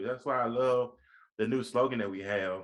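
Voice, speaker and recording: Using an American accent, a man talks at a moderate pace. His tone is animated. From US South, Mobile, Alabama. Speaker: podcast host. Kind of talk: interview.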